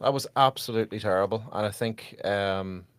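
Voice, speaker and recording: On a very clean recording with a silent background, a man speaks at a moderate pace with a fairly low pitch and ordinary pitch variation. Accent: Irish. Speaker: podcast host. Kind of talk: live post-match fan reaction.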